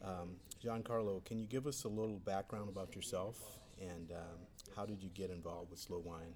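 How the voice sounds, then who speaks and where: This man talks at a fairly quick pace in a very deep, low voice with ordinary pitch variation. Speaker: podcast host. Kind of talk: casual interview. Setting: pier overlooking the bay, at an event.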